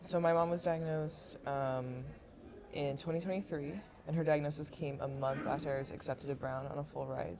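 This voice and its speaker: Her pitch is very deep and low for a woman, with ordinary variation, at a moderate pace. Noticeable background noise sits behind the woman's voice. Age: 20s. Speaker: university student and family caregiver. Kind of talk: casual chat. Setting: podcast.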